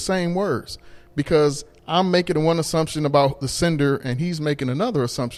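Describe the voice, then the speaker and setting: Fairly high male voice, moderate tempo, normal pitch movement. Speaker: podcast host. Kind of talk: casual chat. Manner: gets loud when passionate.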